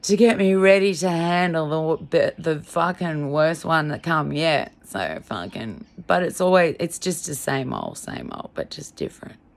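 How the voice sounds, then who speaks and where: A woman talks at a fairly slow pace with hardly any pauses and a fairly low pitch. Her tone is animated, with ordinary pitch variation and big swings in loudness. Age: 50s. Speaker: vlogger. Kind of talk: personal video diary rant.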